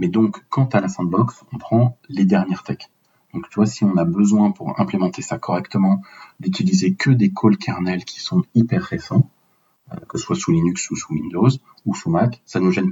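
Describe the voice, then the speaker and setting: Speaking at a moderate pace, a man uses a normal speaking voice with a fairly low pitch and lively intonation. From France, Paris. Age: 30s. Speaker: open source software project lead. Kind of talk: technical podcast interview.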